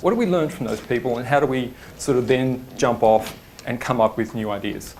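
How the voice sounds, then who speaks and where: Audible room echo surrounds a man speaking at a fairly quick pace and medium pitch with ordinary pitch variation. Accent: Australian. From Australia, Sydney. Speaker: design studio principal, conference speaker. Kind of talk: conference talk. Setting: stage with audience. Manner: hesitant, many fillers. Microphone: microphone cutting in and out.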